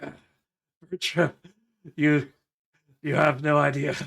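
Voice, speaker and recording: Using a raspy, put-on character voice, a man speaks at a moderate pace in a fairly high pitch with monotone, flat intonation. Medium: actual play.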